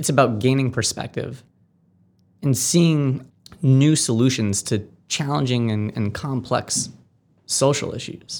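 A man with an American accent, medium in pitch with ordinary pitch variation, talking at a fairly slow pace on a very clean recording with a silent background. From Massachusetts, Amherst. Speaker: nonprofit founder. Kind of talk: interview. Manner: halting.

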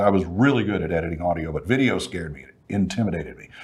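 A man with a Texan accent talks at a very fast pace. His pitch varies in an ordinary way, and there is noticeable background noise. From Texas, Fort Worth. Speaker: broadcaster. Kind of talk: casual chat. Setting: studio.

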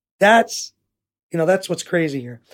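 In a New York accent, a man speaks at a high pitch. His pace is moderate and his pitch variation ordinary. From New York City. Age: 40s. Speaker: nonprofit founder. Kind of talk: interview.

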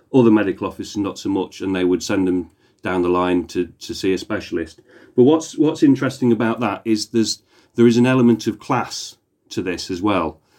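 A man speaks with a British accent at a fairly low pitch. His pitch variation is ordinary. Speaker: historian. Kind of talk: casual chat.

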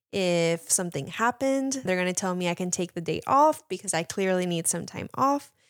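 At a moderate pace, a voice with a Spanish accent and lively intonation sounds dry and close with no echo on a very clean recording with a silent background. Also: woman. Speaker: mental health counselor. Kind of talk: casual chat.

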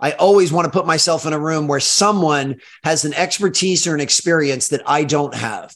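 Fairly quick and animated, a man speaks at a fairly high pitch. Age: 40s. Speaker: speaker and basketball performance coach. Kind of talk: podcast interview.

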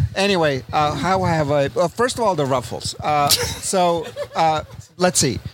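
Pausing long and often, a man with a fairly high pitch uses lively intonation over noticeable background noise. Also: very even loudness. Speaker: podcast co-host. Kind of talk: casual chat. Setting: outdoors on a deck.

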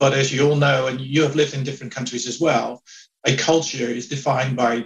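The speaker has a Dutch accent and sounds somewhat breathy. Pitch varies in an ordinary way. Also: man. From Netherlands. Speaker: HR executive. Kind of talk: interview. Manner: hesitant with fillers.

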